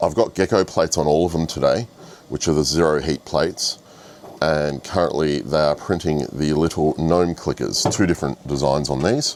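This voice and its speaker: A man's very deep, low voice with ordinary pitch variation, very even loudness, a moderate pace and noticeable background noise. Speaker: 3D printing vlogger. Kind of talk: casual vlog.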